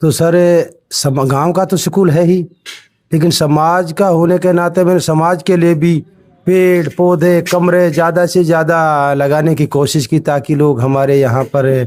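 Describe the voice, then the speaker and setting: This man's voice sits high in pitch, with very even loudness and fairly even intonation. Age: 60s. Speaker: retired headmaster, volunteer. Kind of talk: interview.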